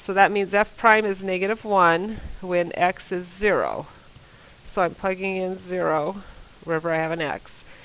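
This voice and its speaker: Intonation fairly even and pitch medium, a woman talks in an unremarkable speaking voice. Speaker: math teacher. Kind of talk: recorded lesson.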